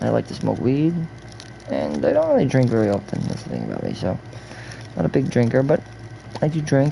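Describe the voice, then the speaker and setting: Noticeable background noise is present throughout. The talking moves fairly quickly. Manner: casual, rambling.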